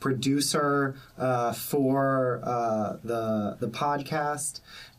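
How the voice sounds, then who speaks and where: Noticeable background noise sits behind a man with an American accent. He speaks very slowly with fairly even intonation. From North Carolina (Raleigh). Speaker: podcast producer and graduate student. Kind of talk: casual chat. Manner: halting.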